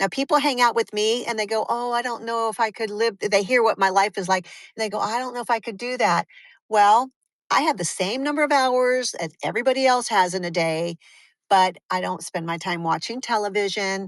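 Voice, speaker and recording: In a very clean recording with a silent background and a dry, close sound with no echo, a woman talks at a fairly quick pace with a fairly high pitch and ordinary pitch variation. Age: 60s. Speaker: holistic veterinarian. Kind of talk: interview. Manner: animated.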